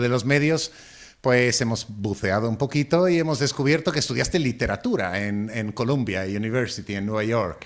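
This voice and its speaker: In an Italian accent, a man of medium pitch speaks at a moderate pace with lively intonation. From Italy. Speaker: podcast host. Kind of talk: podcast interview.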